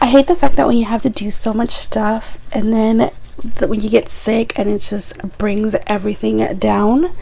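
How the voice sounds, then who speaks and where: Noticeable background noise sits behind this woman. She talks at a moderate pace with a fairly high pitch. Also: ordinary pitch variation. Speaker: beauty vlogger. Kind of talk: makeup tutorial. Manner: casual chatty.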